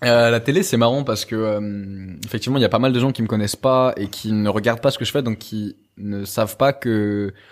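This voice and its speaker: A man at medium pitch, fairly quick, with hardly any pauses. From France. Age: 20s. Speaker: youtuber and fitness coach. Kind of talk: podcast interview. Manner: fast; animated.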